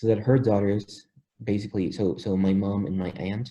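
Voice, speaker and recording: In a Spanish accent, a man speaks at a moderate pace with a fairly low pitch and a dark, mellow, somewhat breathy tone. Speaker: polyglot, language learner. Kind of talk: interview.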